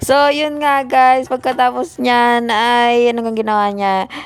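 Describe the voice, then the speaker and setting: Speaking at a very slow pace, a woman uses a high pitch and fairly even intonation. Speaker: vlogger. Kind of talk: vlog voice-over narration. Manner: casual, repetitive filler-heavy.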